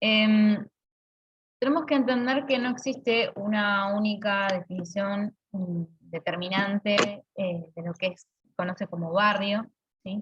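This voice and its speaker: A woman's medium-pitched voice at a very slow pace, with ordinary pitch variation and big swings in loudness. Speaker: university lecturer. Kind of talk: online lecture. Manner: halting, many fillers.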